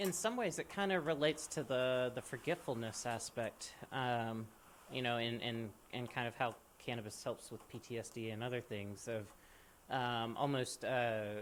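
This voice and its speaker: This man speaks with an American accent at a medium pitch. His pace is moderate and his pitch varies in an ordinary way. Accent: Southern accent masked, barely noticeable. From US South, central Mississippi. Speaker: podcast host. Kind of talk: podcast conversation. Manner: many fillers and repetitions.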